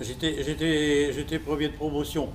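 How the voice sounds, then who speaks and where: This is a man's voice recorded with audible echo from the room. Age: 90s. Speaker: war veteran and concentration camp survivor. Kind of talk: testimony. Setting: school hall with students. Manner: halting, many repetitions.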